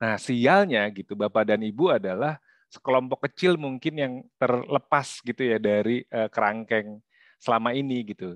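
Over a quiet background with a dry sound and no echo, a man with an unremarkable speaking voice talks at a fairly quick pace, medium pitch and ordinary pitch variation. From Indonesia (Jakarta). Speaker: workshop facilitator. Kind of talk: workshop presentation. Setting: video call. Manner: casual, frequent fillers. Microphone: video call.

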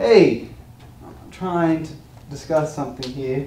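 The speech is at a fairly slow pace with ordinary pitch variation. Light background noise and audible room echo are present. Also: man. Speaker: presenter. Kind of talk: comic class presentation. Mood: playful, mock-earnest. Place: classroom. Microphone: camera far.

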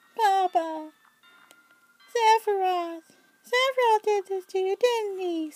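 Over background music, a woman puts on a squeaky character voice at an extremely high pitch, talking at a fairly slow pace with long, frequent pauses in a dry, close sound with no echo. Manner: dramatic, emotional.

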